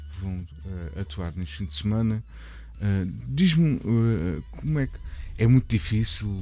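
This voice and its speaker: Over music in the background, a man talks at a fairly slow pace in a fairly low pitch. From Portugal, Barreiro. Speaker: radio host. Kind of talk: radio interview. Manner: halting.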